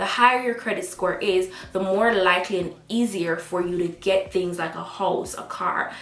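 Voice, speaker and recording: With a Jamaican accent, a woman speaks in an animated tone at medium pitch and moderate pace, amid noticeable background noise and audible room echo. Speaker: student vlogger. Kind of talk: vlog advice talk.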